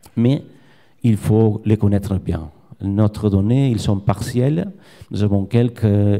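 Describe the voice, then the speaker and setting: A man speaks at a very slow pace with a Spanish accent. His tone is dark and mellow, and his pitch fairly low. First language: Spanish or Catalan (speaking French). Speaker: fish biologist, research professor. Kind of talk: conference presentation. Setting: conference with audience. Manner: halting.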